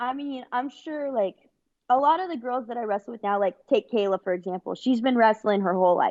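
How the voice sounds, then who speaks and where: Speaking at a fairly quick pace with a Californian accent, a woman uses a high pitch and lively intonation. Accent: California. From Northern California, Bay Area. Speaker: wrestler. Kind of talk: interview. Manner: casual.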